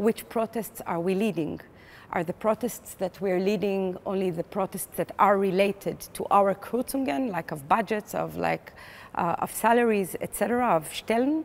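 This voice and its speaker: A woman with an Israeli accent at a medium pitch, moderate pace and ordinary pitch variation, in a very clean recording with a silent background. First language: Hebrew. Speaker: playwright and theater director. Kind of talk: interview. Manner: hesitant, many fillers.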